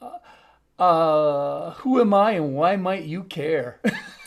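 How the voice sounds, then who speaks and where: Speaking very slowly with an American accent, a man uses a fairly high pitch and ordinary pitch variation on a very clean recording with a silent background. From US Upper Midwest (North Dakota, Minnesota). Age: 60s. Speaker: international education consultant. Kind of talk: talk to a group.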